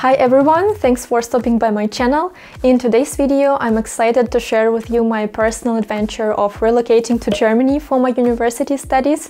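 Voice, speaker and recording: A woman speaks with a Russian accent, high in pitch at a fairly quick pace. Her loudness stays very even and her intonation fairly even. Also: hardly any pauses. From Russia, Moscow region. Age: 20s. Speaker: vlogger. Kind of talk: vlog talking to camera.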